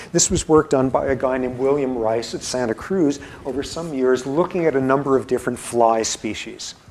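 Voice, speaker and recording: Against noticeable background noise, a man talks at a fairly quick pace in a medium pitch. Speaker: university professor. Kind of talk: lecture. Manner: mumbling; animated.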